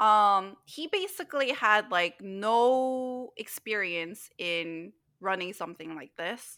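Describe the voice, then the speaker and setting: Her pitch swinging very widely, a woman with a Korean accent speaks in a bright, sharp tone. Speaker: podcast co-host. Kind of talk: casual chat.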